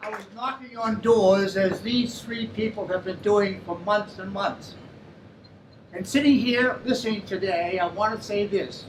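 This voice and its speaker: A high-pitched man with an American accent, fairly even intonation and a fairly slow pace, over noticeable background noise. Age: 80s+. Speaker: former mayor. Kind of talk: audience remarks. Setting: forum in a pub.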